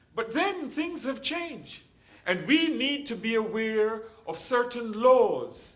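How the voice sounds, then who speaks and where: A man speaks at an extremely high pitch with lively intonation. His pace is fairly slow, and audible room echo surrounds him. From Jamaica. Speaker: hospital chaplain. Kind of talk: lecture.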